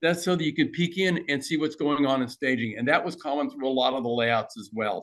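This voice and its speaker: Speaking at a fairly quick pace, a man has a plain, everyday voice, fairly high in pitch with ordinary pitch variation. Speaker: model railroader. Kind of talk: club presentation talk. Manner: casual, conversational.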